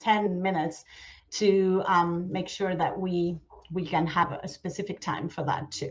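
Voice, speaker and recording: A somewhat breathy woman's voice, fairly low in pitch, with an Argentine accent, fairly even intonation and a fairly slow pace. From Argentina. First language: Spanish. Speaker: nonprofit outreach manager. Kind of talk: conference presentation. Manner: hesitant, many fillers.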